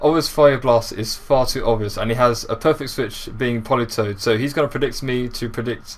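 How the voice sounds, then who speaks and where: Here a man speaks at a fairly quick pace. His pitch is medium and his intonation fairly even. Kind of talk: video game commentary.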